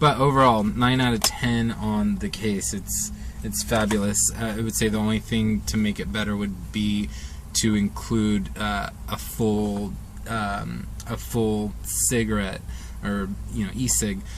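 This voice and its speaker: Very wide pitch swings mark this man's very deep, low voice. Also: fairly slow pace. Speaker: vape product reviewer. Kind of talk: casual talk to camera. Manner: hesitant, stumbling.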